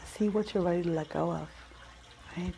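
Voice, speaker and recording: Soft-spoken woman with an American accent, a calm tone and a fairly low pitch. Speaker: Reiki practitioner. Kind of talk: guided Reiki meditation. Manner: soft-spoken, calm, slow.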